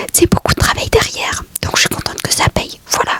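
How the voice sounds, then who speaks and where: A woman whispers at a moderate pace. The sound is dry and close with no echo, though noticeable background noise comes through. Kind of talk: vlog monologue. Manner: whispering ASMR.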